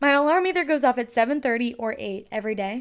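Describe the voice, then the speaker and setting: A woman's high-pitched voice with an American accent, in a very clean recording with a silent background. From North Carolina. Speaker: podcast host, college student. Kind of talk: casual faith-based monologue. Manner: casual, filler-heavy (um, like).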